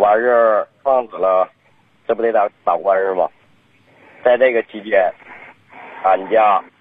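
A man's medium-pitched voice at a fairly slow pace, with fairly even intonation and long, frequent pauses. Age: 30s. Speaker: caller. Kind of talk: phone-in call.

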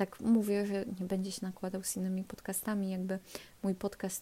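With a dark, mellow tone, a woman speaks at a moderate pace and medium pitch, somewhat breathy, with monotone, flat intonation. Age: 20s. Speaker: podcast host. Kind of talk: casual monologue. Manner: halting.

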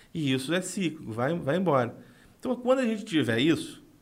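This man has a normal speaking voice, using lively intonation at a fairly quick pace. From Brazil, northern Rio de Janeiro state (São Francisco de Itabapoana). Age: 30s. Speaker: former city councillor, political adviser. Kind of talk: podcast interview.

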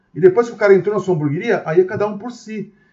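Speaking at a very fast pace, a man with a São Paulo accent has a high-pitched voice. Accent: Brazilian Portuguese, São Paulo (paulista). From Brazil, Osasco (São Paulo area). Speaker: restaurant entrepreneur. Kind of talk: casual interview.

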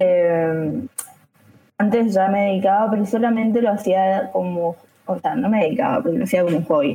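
At a moderate pace, a woman with a plain, everyday voice speaks at medium pitch with ordinary pitch variation and very even loudness. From Argentina, Chaco. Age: 20s. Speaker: photographer. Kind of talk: casual chat. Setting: live stream.

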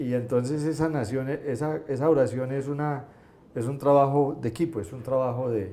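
A man speaks with an Antioquian accent in a dark, mellow tone at medium pitch and ordinary pitch variation. He keeps a moderate pace, and room echo is audible. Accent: Colombian paisa Spanish. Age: 60s. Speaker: entrepreneur. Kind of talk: interview.

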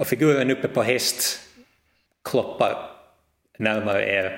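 He is a man with a fairly low pitch. His tone is fairly bright. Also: ordinary pitch variation.

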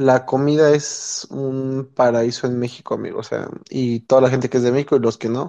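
A man's medium-pitched voice in a monotone, flat delivery at a moderate pace, with hardly any pauses. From Mexico City area, Mexico. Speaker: Mexican-raised emigrant in the US. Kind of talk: casual chat.

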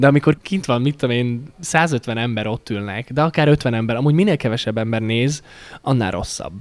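A plain, everyday voice from a man, mid-range in pitch with ordinary variation, delivered fairly quickly. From Slovakia, Hungarian minority (Párkány). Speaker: singer-songwriter. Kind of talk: interview.

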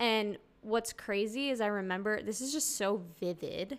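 The speaker is a woman with an unremarkable speaking voice. Her pitch is fairly high, with ordinary variation. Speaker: guest sharing testimony, new mother. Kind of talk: casual chat / testimony. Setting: at home, holding her baby.

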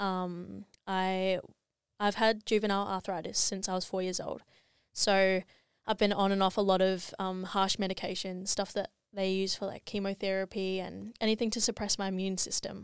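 A woman's medium-pitched voice with monotone, flat intonation, on a very clean recording with a silent background. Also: moderate pace. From New Zealand. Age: 20s. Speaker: social media influencer. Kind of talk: casual interview chat. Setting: studio.

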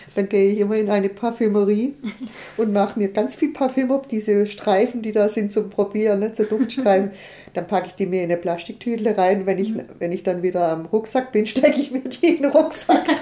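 Noticeable background noise runs behind a woman. She talks at a fairly quick pace with lively intonation. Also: fairly high pitch for a woman. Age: 60s. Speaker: long-distance pilgrim. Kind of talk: casual interview.

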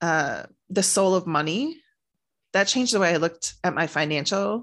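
Using an unremarkable speaking voice, a woman talks at a moderate pace with a fairly low pitch and ordinary pitch variation. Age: 40s. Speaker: author and publisher. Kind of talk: personal testimony interview.

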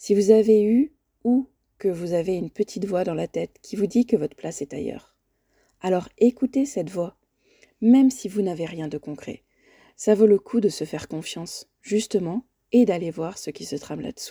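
A woman speaks in a calm, warm, dark and mellow tone at medium pitch and a moderate pace, with lively intonation, big swings in loudness and long, frequent pauses, on a very clean, dry, close recording with a silent background and no echo. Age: 40s. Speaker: life coach and podcast host. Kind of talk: solo podcast monologue. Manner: calm and warm.

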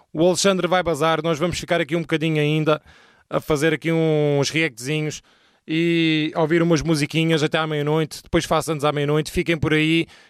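A man with a fairly high pitch speaks at a fairly quick pace on a very clean recording with a silent background and a dry, close sound with no echo. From Portugal. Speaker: streamer and rapper. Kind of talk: casual chat. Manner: animated.

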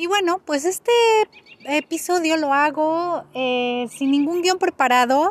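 A woman speaks with a Mexican accent and lively intonation. The sound is dry and close, with no echo. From Mexico. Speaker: podcast host. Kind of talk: casual unscripted monologue. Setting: outdoors in a park. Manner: hesitant, many fillers.

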